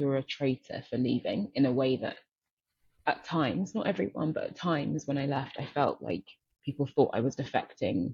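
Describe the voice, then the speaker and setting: A woman with a very deep, low pitch and a dark, mellow tone speaks at a moderate pace, sounding somewhat breathy. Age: 30s. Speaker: venture capital investor, former doctor. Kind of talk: interview.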